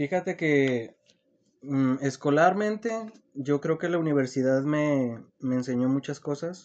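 This man speaks at a very slow pace in a fairly high voice with ordinary pitch variation. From Mexico, Zacatecas. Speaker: small business owner. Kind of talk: casual interview.

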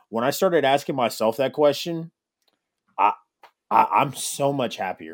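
The speaker talks at a moderate pace with vocal fry and ordinary pitch variation. Long pauses come often. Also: man, fairly high pitch for a man. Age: 30s. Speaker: podcast host. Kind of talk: casual chat.

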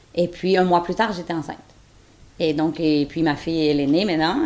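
In a Quebec accent, a woman speaks with a fairly low pitch. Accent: Québécois French. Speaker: surrogate mother. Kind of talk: testimony.

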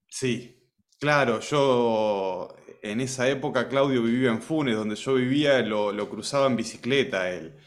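Room echo is audible around a man's medium-pitched voice. He speaks at a fairly slow pace with ordinary pitch variation. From Argentina, Rosario area. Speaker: music teacher, music school founder. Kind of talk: casual chat.

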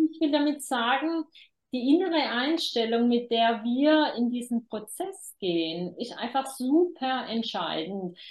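The speech goes at a very slow pace, with very wide pitch swings and big swings in loudness. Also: woman, high pitch for a woman. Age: 50s. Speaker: demography expert and author. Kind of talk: interview.

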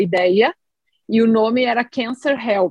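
A woman's fairly high voice with ordinary pitch variation, dry and close with no echo. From southern Brazil, Rio Grande do Sul. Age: 40s. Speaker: oncologist and app co-founder. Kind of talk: podcast interview.

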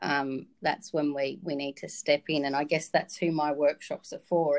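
With an Australian accent, a woman speaks at a moderate pace in a very deep, low pitch and fairly even intonation. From Victoria, Australia (Wodonga, rural border region). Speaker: communications trainer. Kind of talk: podcast interview.

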